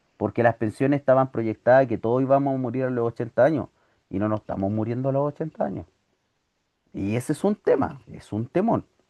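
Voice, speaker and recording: This man talks at a fairly quick pace in a medium pitch, with ordinary pitch variation and a dark, mellow tone. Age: 40s. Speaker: teacher. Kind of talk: lecture.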